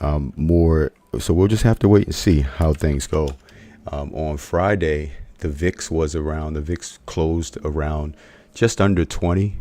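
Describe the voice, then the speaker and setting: A man with a very deep, low pitch and a dark, mellow tone, at a fairly slow pace with ordinary pitch variation. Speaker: options trading educator. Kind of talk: trading webinar presentation. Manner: speaking low; halting, many fillers.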